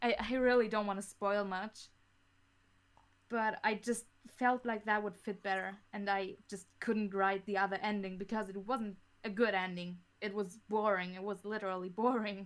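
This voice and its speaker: A woman with a German accent, medium pitch, moderate pace and monotone, flat intonation. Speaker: audio drama creator. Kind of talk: podcast interview. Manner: halting, frequent repetitions.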